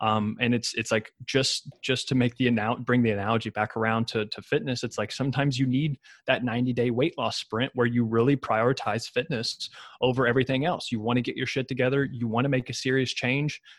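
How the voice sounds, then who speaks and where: A man with a Kentucky accent at a fairly quick pace, monotone and flat, in a dry, close sound with no echo. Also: medium pitch for a man, very clean recording, silent background. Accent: Kentucky Southern American. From US South, Ashland, Kentucky. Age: 20s. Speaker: fitness coach and dietitian. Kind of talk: casual chat.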